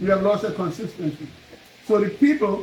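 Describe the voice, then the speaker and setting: Amid noticeable background noise and audible room echo, a man with a Trinidadian accent speaks at a high pitch. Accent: Trinidad and Tobago English. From Tobago, Trinidad and Tobago. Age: 70s. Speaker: visitor tracing his ancestry. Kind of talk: storytelling to elders. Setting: meeting at a chief's palace.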